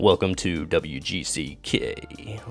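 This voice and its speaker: Clear background noise runs under a put-on character voice. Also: man. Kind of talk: formal, broadcast.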